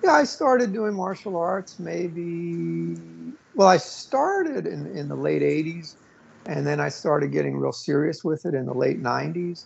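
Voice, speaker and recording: A man with an American accent speaks at a moderate pace as noticeable background noise carries underneath. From New York. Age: 40s. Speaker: author and martial artist. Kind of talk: interview. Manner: halting, many fillers.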